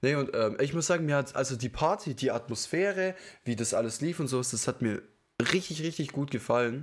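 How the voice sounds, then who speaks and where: On a very clean recording with a silent background, a man with an unremarkable speaking voice talks at a fairly quick pace, his fairly high pitch carried by lively intonation. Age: 20s. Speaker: podcast co-host. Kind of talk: casual chat.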